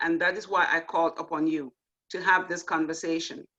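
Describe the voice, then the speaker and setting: A woman with an African accent speaks in a bright, sharp tone. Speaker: nurse educator and event host. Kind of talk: closing remarks at online panel event.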